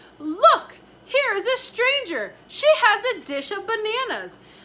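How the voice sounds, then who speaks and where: Putting on a character voice at an extremely high pitch, a woman speaks in an excited tone at a fairly slow pace. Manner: excited, calling out.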